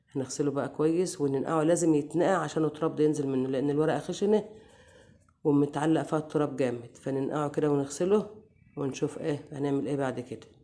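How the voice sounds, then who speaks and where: Here is a woman with a very deep, low pitch and a dark, mellow tone. She speaks at a moderate pace with fairly even intonation. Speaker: cooking channel host. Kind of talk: cooking tutorial.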